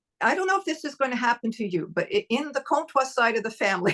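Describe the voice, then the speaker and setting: A bright, sharp tone with very wide pitch swings comes through in a dry, close sound with no echo. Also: woman. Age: 70s. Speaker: family member recounting memories. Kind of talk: casual interview.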